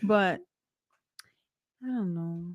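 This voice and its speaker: This woman speaks with a Spanish accent and ordinary pitch variation. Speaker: podcast co-host. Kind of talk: casual chat. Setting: live stream.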